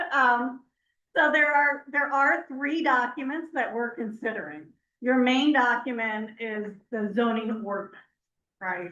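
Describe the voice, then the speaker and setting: A woman speaks loudly at a high pitch, with a bright, sharp tone. Her intonation is lively. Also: fairly slow pace. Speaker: planning consultant. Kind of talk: public meeting discussion. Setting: municipal board meeting.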